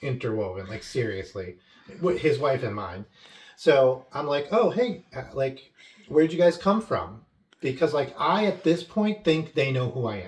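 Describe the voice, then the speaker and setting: In an American accent, the speaker moves at a moderate pace with very wide pitch swings. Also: man, fairly high pitch for a man. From Long Island, New York. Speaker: vlogger. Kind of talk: casual chat.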